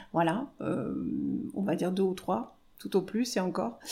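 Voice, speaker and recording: A woman talks very slowly, and the recording is very clean with total silence behind her. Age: 50s. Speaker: hairdresser. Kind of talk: testimony. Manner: halting.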